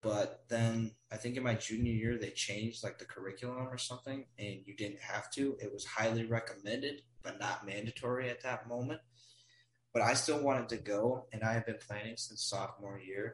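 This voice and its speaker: This man has an American accent and talks at a moderate pace. His voice is somewhat breathy, with fairly even intonation. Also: medium pitch for a man. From Wisconsin, US Midwest. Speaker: guest, college student abroad. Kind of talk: casual chat.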